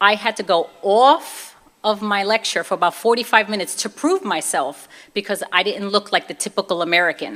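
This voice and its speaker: This woman talks at a fairly quick pace with a Brooklyn accent. Her pitch is medium, with ordinary pitch variation. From US Northeast, Brooklyn, New York. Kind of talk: testimony.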